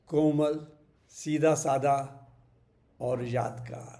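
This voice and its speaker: Audible room echo surrounds a man whose fairly high voice has a dark, mellow tone. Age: 70s. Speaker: vlogger sharing memories. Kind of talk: personal reminiscence monologue. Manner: reflective, with hesitations.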